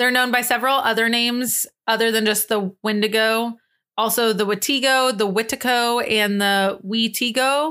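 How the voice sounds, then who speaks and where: A woman's fairly high voice, bright and sharp in tone, holds very even loudness on a very clean recording with a silent background. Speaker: podcast co-host. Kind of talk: casual chat; reading aloud. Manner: fast.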